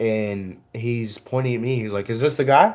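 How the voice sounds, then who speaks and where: Moderately paced speech from a man. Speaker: podcast co-host. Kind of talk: casual chat. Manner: loud.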